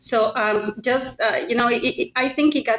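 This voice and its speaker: Noticeable background noise surrounds the speaker. A woman with a Spanish accent talks at a fairly slow pace. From Mexico. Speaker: realtor. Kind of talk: interview.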